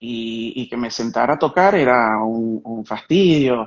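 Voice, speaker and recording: A man talks at medium pitch with a Caracas accent. His pitch variation is ordinary. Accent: Venezuelan Spanish (Caracas). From Venezuela, Caracas. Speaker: musician and sound artist. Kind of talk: live-stream interview.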